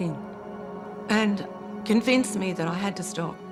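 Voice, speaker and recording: A woman with an Australian accent at a moderate pace, ordinary pitch variation, music playing behind her. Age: 70s. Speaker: spiritual teacher. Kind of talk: documentary interview answer.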